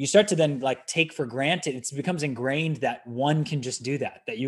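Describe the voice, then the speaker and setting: A man with an American accent, fairly high-pitched for a man, talking at a fairly quick pace with ordinary pitch variation against a quiet background. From US West Coast, San Francisco Bay Area. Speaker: startup founder and CEO. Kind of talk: interview conversation.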